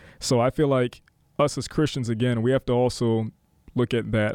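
In an ordinary speaking voice of medium pitch, a man talks at a fairly quick pace on a very clean recording with a silent background. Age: young. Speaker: city council member. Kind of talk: casual chat. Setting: studio.

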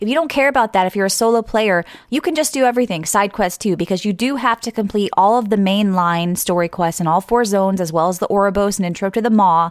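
A woman talks very fast with an American accent. Her pitch is medium, with ordinary variation. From US East Coast. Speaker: podcast host. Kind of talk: casual chat. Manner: halting.

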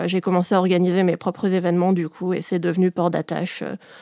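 A woman's voice at medium pitch, dark and mellow in tone, with monotone, flat intonation, on a very clean recording with a silent background. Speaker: shibari performer and instructor. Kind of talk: interview. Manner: halting.

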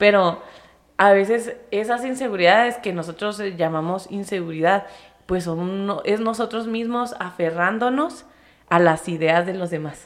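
Here a woman uses an ordinary speaking voice at medium pitch. She talks at a fairly slow pace with ordinary pitch variation. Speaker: podcast host. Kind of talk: casual chat. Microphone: close to the microphone.

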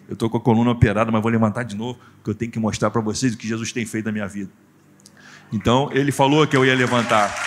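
The background is silent on this very clean recording. A man speaks at a very fast pace. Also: medium pitch for a man. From Brazil, Rio de Janeiro state (Nova Iguaçu). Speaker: pastor and motivational speaker. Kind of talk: testimony. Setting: church stage with audience. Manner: animated.

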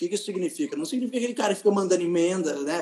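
A man's high-pitched voice. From Vale do Paraíba, São Paulo state, Brazil. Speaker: state legislator. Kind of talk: casual interview.

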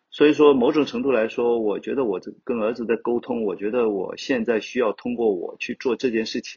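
A man with a plain, everyday voice speaks at medium pitch and a moderate pace. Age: 50s. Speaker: rock climber, fashion blogger and climbing gym owner. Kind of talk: casual interview chat.

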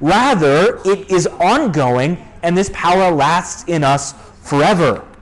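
A man speaks very slowly in a high pitch with lively intonation. His loudness stays very even over noticeable background noise. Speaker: pastor. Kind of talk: sermon. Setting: church.

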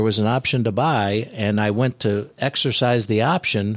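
A man with an American accent has an ordinary speaking voice and ordinary pitch variation. The recording is very clean, with a silent background. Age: 60s. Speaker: real estate investor. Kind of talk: casual chat. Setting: studio.

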